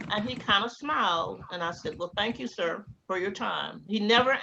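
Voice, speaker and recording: A woman with an American accent talks at a fairly quick pace in a medium pitch, her intonation lively. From US South, Georgia and Tallahassee, Florida. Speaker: interviewee, former graduate student. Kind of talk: oral history interview. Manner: animated storytelling.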